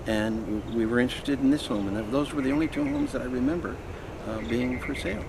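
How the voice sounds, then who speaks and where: Over noticeable background noise, a man talks at a very fast pace and a medium pitch. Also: ordinary pitch variation. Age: 80s+. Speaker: homeowner. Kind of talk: interview answer.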